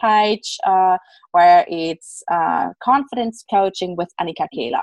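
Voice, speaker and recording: A woman speaks with a German accent and lively intonation at a medium pitch. The background is quiet. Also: dry, close sound with no echo. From Germany. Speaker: self-love and confidence coach. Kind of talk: interview. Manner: halting.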